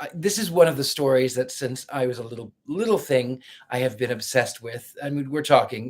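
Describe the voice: The intonation is lively throughout this plain reading aloud.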